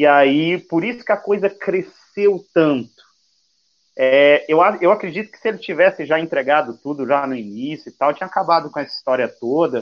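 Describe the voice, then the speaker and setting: A man with an ordinary speaking voice and a fairly high pitch talks at a moderate pace with lively intonation. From Brazil, Santo André (São Paulo). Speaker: youtuber. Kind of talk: casual chat.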